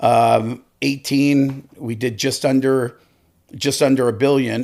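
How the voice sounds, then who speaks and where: A man with an ordinary speaking voice talks at a medium pitch with fairly even intonation. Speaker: lending company executive. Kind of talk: interview.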